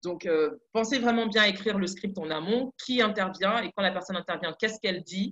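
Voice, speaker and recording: A woman's medium-pitched voice at a fairly quick pace, with fairly even intonation. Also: dry, close sound with no echo. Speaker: content producer giving advice. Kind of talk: webinar presentation. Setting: online webinar. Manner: fast.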